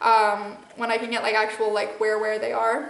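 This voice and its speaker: Moderately paced speech from a woman, with audible room echo and noticeable background noise. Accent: Midwestern American. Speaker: spiritual channeler and podcast host. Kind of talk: casual monologue. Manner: rambling with many fillers.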